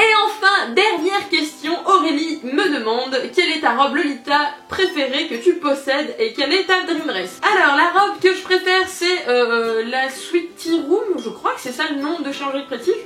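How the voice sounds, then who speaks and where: A raised, projected voice with lively intonation moves at a fairly slow pace with hardly any pauses over noticeable background noise. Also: woman, extremely high pitch for a woman. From southwestern France. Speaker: YouTuber, alternative fashion vlogger. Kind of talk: casual Q&A vlog. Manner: animated, hesitant with many fillers.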